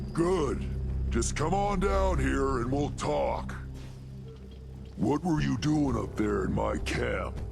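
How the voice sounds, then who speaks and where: Loud music plays in the background. Over it, a man speaks very slowly in a put-on character voice. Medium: machinima. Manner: gruff, plain-spoken.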